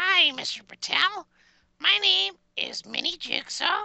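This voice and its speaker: A woman performs a put-on character voice at an extremely high pitch. She moves at a fairly slow pace. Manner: creepy.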